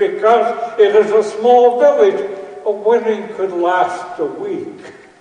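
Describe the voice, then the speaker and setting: A man with a high pitch and lively intonation speaks at a very slow pace over noticeable background noise. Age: 80s. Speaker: preacher. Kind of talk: sermon. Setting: church.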